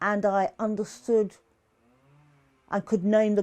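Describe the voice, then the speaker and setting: A woman speaks at a moderate pace in a dark, mellow tone against a quiet background. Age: 60s. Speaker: political activist. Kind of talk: oral history interview.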